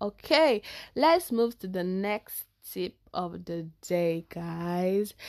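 The delivery is animated, with lively intonation. The speaker talks with a Nigerian accent. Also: woman, dry, close sound with no echo, quiet background. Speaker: podcast host. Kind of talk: casual chat.

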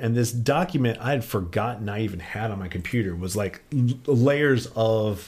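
A man's normal speaking voice, medium in pitch, with ordinary pitch variation at a fairly slow pace. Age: 40s. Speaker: independent physics researcher. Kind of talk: casual interview. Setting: studio.

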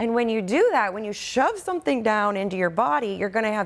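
Medium pitch from a woman at a fairly quick pace amid noticeable background noise. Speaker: attorney and abuse survivor advocate. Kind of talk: interview.

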